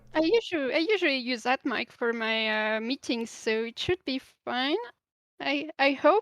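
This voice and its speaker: A woman with a French accent, lively intonation and a moderate pace. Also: dry, close sound with no echo. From France. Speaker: animator. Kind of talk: casual interview. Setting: online voice call. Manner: halting. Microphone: too quiet, low audio.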